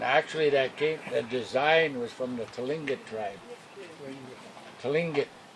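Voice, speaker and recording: A man with an American accent talks at a fairly slow pace, pitched fairly high, with ordinary pitch variation. He leaves long, frequent pauses, and noticeable background noise is audible. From Wisconsin, Lake Superior reservation. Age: 70s. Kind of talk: interview.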